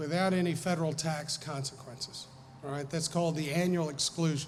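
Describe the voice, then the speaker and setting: Amid audible room echo, a man with a fairly high pitch speaks using fairly even intonation. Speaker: estate planning lawyer. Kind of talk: seminar talk. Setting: live audience.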